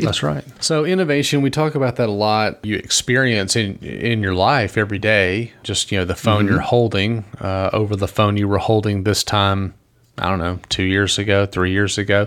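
A fairly low-pitched man at a moderate pace, with ordinary pitch variation, very even loudness and hardly any pauses. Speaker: podcast co-host.

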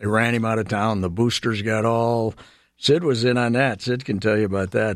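On a very clean recording with a silent background, a man speaks with an Upper Midwest accent. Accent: Upper Midwest (Minnesota). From southwestern Minnesota. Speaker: veteran sports columnist. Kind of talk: casual storytelling interview. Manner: halting, frequent fillers.

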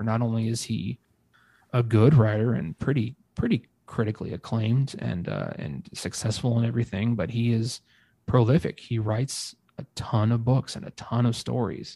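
A man's dark, mellow, somewhat breathy voice of medium pitch, with ordinary pitch variation and a moderate pace, in a dry, close sound with no echo. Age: 30s. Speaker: podcast co-host. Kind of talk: casual chat.

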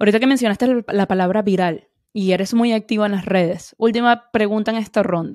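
Delivered at a fairly quick pace, a normal speaking voice keeps a fairly even intonation. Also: woman, fairly high pitch for a woman. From Venezuela. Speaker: podcast host. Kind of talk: interview.

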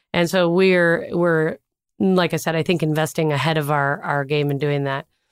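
Fairly quick and fairly even in intonation, a woman speaks with an American accent. Her pitch is very deep and low. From US Midwest, Minnesota. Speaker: tech company CEO. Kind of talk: interview.

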